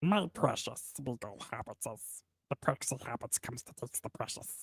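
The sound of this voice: A put-on character voice delivers the lines at a moderate speed. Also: man, medium pitch for a man.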